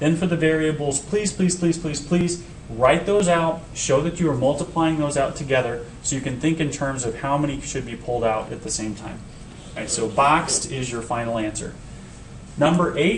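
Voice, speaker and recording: A man speaks in a fairly high voice with ordinary pitch variation, over noticeable background noise and with audible room echo. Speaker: high school math teacher. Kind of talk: tutorial. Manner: fast.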